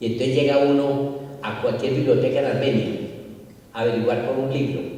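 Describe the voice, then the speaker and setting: With noticeable background noise and audible room echo, a man speaks at a fairly quick pace in a medium-pitched, monotone voice with flat intonation. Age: 70s. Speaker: author and retired school principal. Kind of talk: book presentation talk. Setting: stage with audience.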